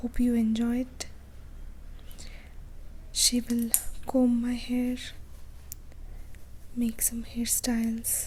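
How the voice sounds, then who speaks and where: Long, frequent pauses break up speech at a very slow pace, with noticeable background noise. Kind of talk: ASMR whispering intro. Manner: whispered.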